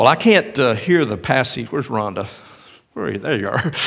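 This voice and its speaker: At a medium pitch, a man's voice swings very widely in pitch. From Tennessee, near Cleveland. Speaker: pastor. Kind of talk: sermon. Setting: church.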